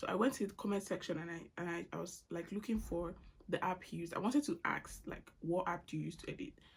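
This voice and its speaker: A woman with vocal fry at a fairly quick pace. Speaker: YouTube vlogger. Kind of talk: casual chat Q&A while doing makeup. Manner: casual, with fillers and restarts.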